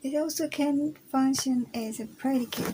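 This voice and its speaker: A woman's dark, mellow voice with an Indonesian accent, at a very slow pace with ordinary pitch variation. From Indonesia, Java. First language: Javanese. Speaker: university student. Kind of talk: recorded class presentation. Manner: halting.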